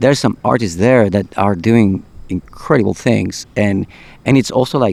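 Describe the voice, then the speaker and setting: A man with a non-native accent speaks at a moderate pace and a fairly low pitch. His loudness stays very even, and his pitch varies in an ordinary way. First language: not English. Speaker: podcast host. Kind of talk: casual chat. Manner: halting, repeats words.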